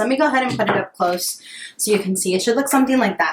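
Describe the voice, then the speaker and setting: Very wide pitch swings from a woman with a fairly high-pitched voice. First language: bilingual Spanish and English. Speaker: lifestyle vlogger. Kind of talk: casual baking tutorial vlog. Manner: casual, hesitant with fillers.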